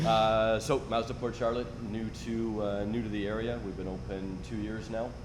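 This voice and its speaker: The speaker has a Canadian accent and keeps a moderate pace. Echo from the room can be heard. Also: man, fairly low pitch for a man, fairly even intonation. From Canada (Ottawa). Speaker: car dealership owner. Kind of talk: podcast interview.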